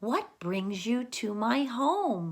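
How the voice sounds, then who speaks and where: Using a put-on character voice, the speaker makes very wide pitch swings. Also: woman. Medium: read story. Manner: warm, hospitable.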